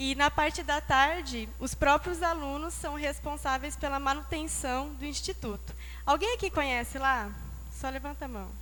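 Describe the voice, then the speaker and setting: A woman speaks with a São Paulo interior accent at a moderate pace. Audible room echo is present. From interior of São Paulo state, Brazil. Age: young. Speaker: Bible school student. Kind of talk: testimony. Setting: church.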